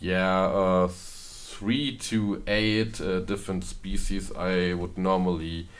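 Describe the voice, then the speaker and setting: A fairly low-pitched man at a very slow pace, with audible room echo. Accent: German. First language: German. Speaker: gaming video creator. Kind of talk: gameplay commentary. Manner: halting, many fillers.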